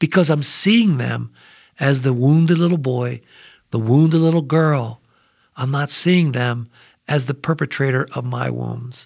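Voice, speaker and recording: The recording is very clean with a silent background, carrying a plain, everyday voice at a fairly slow pace with ordinary pitch variation. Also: man, fairly high pitch for a man. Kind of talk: scripture discussion. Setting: studio.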